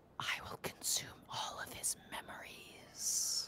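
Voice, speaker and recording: A put-on character voice, whispering at a fairly slow pace. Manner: hungry, sinister.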